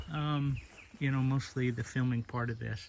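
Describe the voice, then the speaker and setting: A man talks with a somewhat breathy voice. His intonation stays fairly even. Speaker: video creator exploring abandoned places. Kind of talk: casual exploration vlog narration. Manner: halting, with many fillers.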